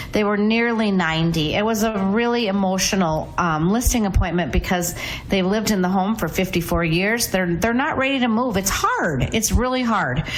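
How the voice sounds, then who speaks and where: At a moderate pace with hardly any pauses, the speech has ordinary pitch variation and very even loudness, heard with audible room echo and noticeable background noise. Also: woman, medium pitch for a woman. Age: 60s. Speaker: real estate agent. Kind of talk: radio talk show chat.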